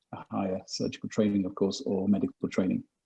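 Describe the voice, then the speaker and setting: A man speaks at a very fast pace. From Britain and Nigeria. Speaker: surgeon. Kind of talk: webinar talk. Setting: video call.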